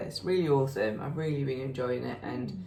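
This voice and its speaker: There is audible room echo around a woman with a very deep, low voice and a strong Yorkshire accent. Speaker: knitting podcast co-host. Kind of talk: casual chat.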